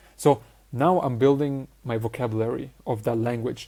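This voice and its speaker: A man with a non-native accent speaks at a medium pitch in a dark, mellow tone. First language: not English. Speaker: social skills coach. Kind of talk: online course lecture.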